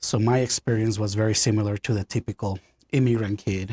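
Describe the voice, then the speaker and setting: The speaker, with a Spanish accent, talks at a fairly quick pace in a monotone, flat intonation, somewhat breathy. The recording is very clean, with a silent background and a dry, close sound with no echo. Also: man. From Honduras. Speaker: pastor. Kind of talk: interview, personal testimony.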